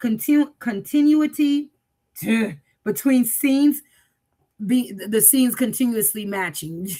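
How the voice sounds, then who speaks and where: With long, frequent pauses, a woman speaks at a fairly slow pace and fairly high pitch, her tone dark and mellow and her intonation lively. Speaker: AI design community coach hosting a livestream. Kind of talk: casual livestream announcement. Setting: live stream. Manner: halting, tongue-tied.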